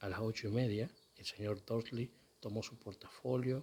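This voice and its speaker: A soft-spoken man's voice, somewhat breathy. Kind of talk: read story.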